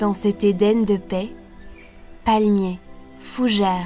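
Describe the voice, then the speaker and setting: Over music in the background, a soft-spoken woman talks very slowly in a soothing tone. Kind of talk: sleep story. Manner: soft-spoken, soothing.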